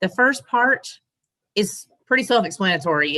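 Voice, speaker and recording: Here a woman is speaking. Her tone is bright and sharp. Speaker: Air Force member, association chapter officer. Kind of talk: training presentation.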